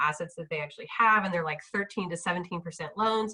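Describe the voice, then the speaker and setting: Lively intonation marks this woman's very fast pace. Noticeable background noise sits behind her. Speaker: impact investor. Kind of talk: panel discussion.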